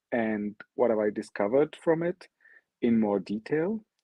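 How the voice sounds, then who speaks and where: A man's medium-pitched voice with an Arabic accent, lively intonation and a fairly slow pace. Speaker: NFT artist. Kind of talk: online presentation.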